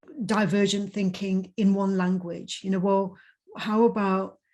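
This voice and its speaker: This woman's voice has a dark, mellow tone and is somewhat breathy. Her pitch sits in the medium range. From Punjab. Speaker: conference host. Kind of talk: casual chat.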